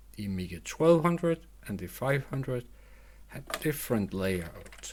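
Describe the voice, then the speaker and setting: Speaking fairly slowly, a man talks with a non-native accent. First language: not English. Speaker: retro computer hobbyist YouTuber. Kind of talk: unscripted product review. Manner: halting, many restarts.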